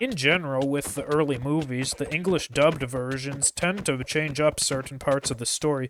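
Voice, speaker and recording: Noticeable background noise sits behind a man with a fairly high pitch. He talks at a moderate pace with monotone, flat intonation. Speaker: Minecraft mod reviewer. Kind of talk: gameplay showcase narration.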